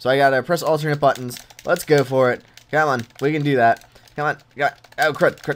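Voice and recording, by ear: Speaking at a moderate pace, a man has a fairly high pitch and fairly even intonation.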